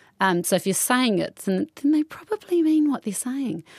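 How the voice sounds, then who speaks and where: With a New Zealand accent, the speaker talks at a fairly quick pace with very wide pitch swings, in a dry, close sound with no echo. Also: woman. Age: 30s. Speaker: interviewee. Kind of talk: interview. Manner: halting.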